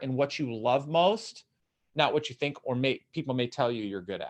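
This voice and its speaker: A man speaks in an animated tone. His intonation is lively. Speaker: motivational speaker and coach. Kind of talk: live-streamed Q&A talk. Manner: loud.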